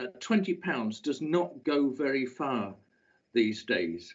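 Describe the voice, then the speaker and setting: A man's voice swings very widely in pitch. Vocal fry runs through it. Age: 70s. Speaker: local councillor. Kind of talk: council debate speech. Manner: halting, many filler sounds.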